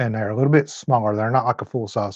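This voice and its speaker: A man talks with a Southern US accent. His intonation stays fairly even. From Tennessee. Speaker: motorcycle mechanic and channel host. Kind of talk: live stream chat. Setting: motorcycle shop. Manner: slow.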